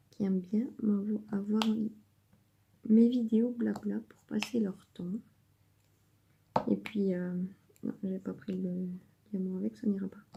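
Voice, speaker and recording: A woman's somewhat breathy, dark and mellow voice of medium pitch, at a very slow pace with long, frequent pauses and fairly even intonation. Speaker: diamond painting youtuber. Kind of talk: casual chat while crafting. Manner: calm, measured.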